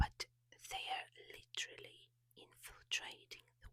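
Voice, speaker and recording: A very slow whisper. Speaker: ASMR creator. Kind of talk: ASMR rant / review. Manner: soft whispered.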